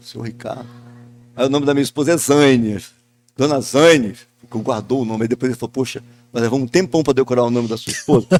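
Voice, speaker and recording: A man speaks very fast at a medium pitch, keeping his intonation fairly even. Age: 60s. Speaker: businessman and local TV owner. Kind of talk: podcast panel discussion. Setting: event venue outside the studio.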